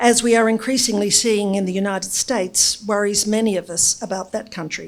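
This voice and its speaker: In an Australian accent, a woman speaks with fairly even intonation. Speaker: former politician and business consultant. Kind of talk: speech to an audience. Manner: formal.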